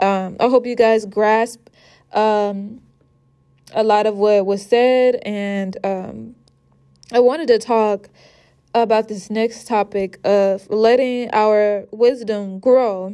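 At a very slow pace, a woman with a fairly high pitch delivers her words in a dark, mellow tone with monotone, flat intonation. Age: 20s. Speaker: podcaster. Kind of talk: solo podcast monologue. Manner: casual, frequent filler words.

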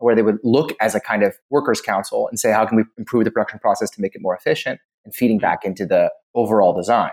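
The delivery is very fast, with big swings in loudness and a dry, close sound free of echo. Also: man. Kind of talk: casual chat.

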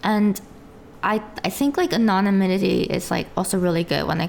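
Over noticeable background noise, a woman speaks at a moderate pace in a fairly low pitch with ordinary pitch variation. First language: Korean. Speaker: VTuber streamer. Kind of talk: interview. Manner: halting.

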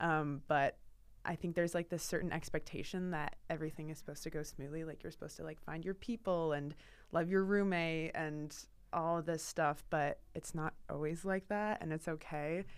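Against music in the background, a woman with an American accent speaks at a moderate pace, her pitch fairly low and her intonation fairly even. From Portland, Oregon, US Pacific Northwest. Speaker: student writer. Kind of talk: casual interview.

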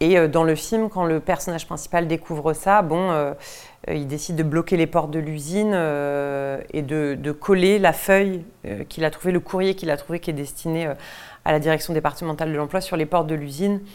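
Her very deep, low voice moves at a moderate pace as this woman keeps fairly even intonation. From western France, Deux-Sèvres. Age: 30s. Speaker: theatre director. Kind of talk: interview. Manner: hesitant, many fillers.

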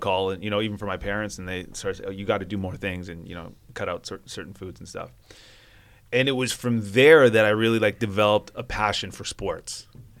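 A man at a fairly quick pace, fairly even intonation, on a very clean recording against a silent background. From Vancouver, Canada. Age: 30s. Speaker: sports reporter. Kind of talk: casual chat.

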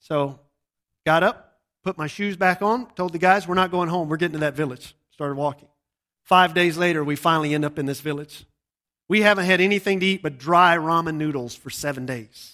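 With a Southern US accent, a man speaks at a fairly quick pace in a high voice with a bright, sharp tone and ordinary pitch variation, on a very clean recording with a silent background. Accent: Southern US (Georgia). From US South, Georgia. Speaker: missionary preacher. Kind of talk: sermon. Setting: church service with audience.

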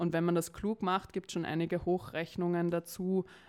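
A woman's fairly low voice has a dark, mellow tone, heard on a very clean recording with a silent background. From Austria, Vienna. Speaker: climate campaign spokesperson. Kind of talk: interview.

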